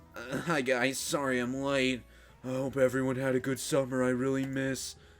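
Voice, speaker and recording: With clear music in the background, a man in a put-on character voice drawls at a medium pitch and moderate pace in a monotone, flat intonation. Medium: game stream. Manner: lazy, drawling.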